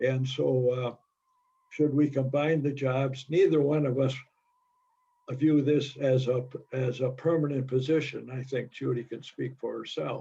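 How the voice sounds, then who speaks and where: Somewhat breathy and dark, mellow in tone, a man speaks at medium pitch with monotone, flat intonation, a fairly slow pace and long, frequent pauses. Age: 90s. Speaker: society officer at members meeting. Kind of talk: business meeting discussion.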